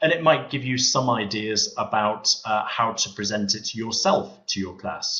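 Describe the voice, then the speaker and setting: A man with a Liverpool accent talks at a moderate pace with lively intonation. Noticeable background noise is present. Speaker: teacher and textbook author. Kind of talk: webinar presentation. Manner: hesitant fillers.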